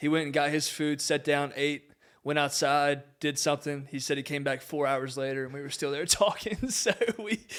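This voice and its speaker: A man speaks in an American accent at a moderate pace. His pitch is fairly high, and the recording is very clean with a silent background. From US South, Southwest Virginia (Grayson County). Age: 20s. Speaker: former college athlete, ministry worker and realtor. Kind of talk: podcast interview.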